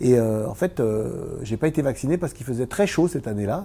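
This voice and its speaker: Somewhat breathy and dark, mellow in tone, a man talks at a fairly quick pace with lively intonation at a medium pitch. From eastern France (Vosges). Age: 60s. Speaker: former Paralympic table tennis champion and business owner. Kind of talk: interview. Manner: hesitant, many fillers.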